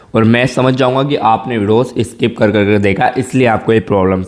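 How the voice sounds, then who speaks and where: Talking at a moderate pace, a man has an animated tone. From rural India. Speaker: tech YouTuber. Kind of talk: tutorial. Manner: casual, animated.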